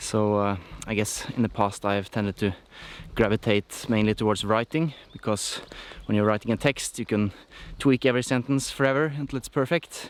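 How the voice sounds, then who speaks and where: The man's medium-pitched voice moves at a fairly quick pace, with ordinary pitch variation. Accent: non-native. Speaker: musician vlogger. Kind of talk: vlog monologue. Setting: outdoors, hiking.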